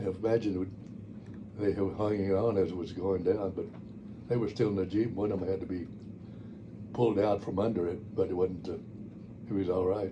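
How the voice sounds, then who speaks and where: A man with a fairly low, somewhat breathy voice and a dark, mellow tone speaks at a fairly quick pace but in a monotone, flat way, with long, frequent pauses and audible room echo. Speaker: war veteran. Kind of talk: oral history interview. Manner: halting.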